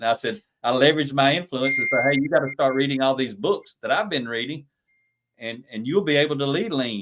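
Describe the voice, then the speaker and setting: A man talks very fast in a Southern US accent. His pitch is fairly high, with ordinary variation. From US South. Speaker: lean leadership consultant and author. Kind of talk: podcast interview. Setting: live stream.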